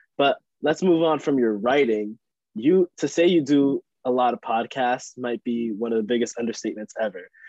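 With an American accent, a man talks in an unremarkable speaking voice at a medium pitch and moderate pace, with ordinary pitch variation. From Long Island, New York. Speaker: student podcast co-host. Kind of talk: casual chat.

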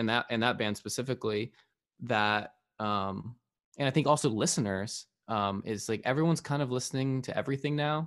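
Speaking with an American accent, a man keeps a medium pitch and ordinary pitch variation. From Arizona, US. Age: 30s. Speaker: musician and producer. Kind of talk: casual chat. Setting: video call. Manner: casual, halting with many fillers.

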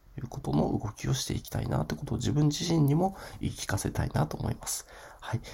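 A man at medium pitch talks very fast, his pitch swinging very widely over noticeable background noise. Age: 40s. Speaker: podcaster, online shop owner. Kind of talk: solo podcast monologue. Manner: casual, many filler words.

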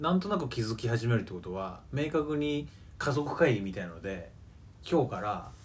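A man's pitch swings very widely as audible room echo rings through the space. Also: medium pitch for a man, moderate pace. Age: 20s. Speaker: podcast co-host. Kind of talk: casual chat. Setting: recording at co-host's home.

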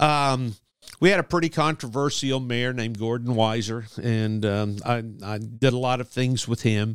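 Moderate pace and ordinary pitch variation in a man's normal speaking voice at a medium pitch. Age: 60s. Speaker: sportswriter. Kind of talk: casual interview chat.

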